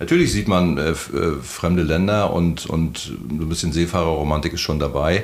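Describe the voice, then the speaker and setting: Audible room echo surrounds a man's voice. His pitch is very deep and low, his intonation fairly even. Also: moderate pace. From Mecklenburg, northeastern Germany. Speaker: harbour master and former sea captain. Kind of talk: casual interview. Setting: outdoors at the beach.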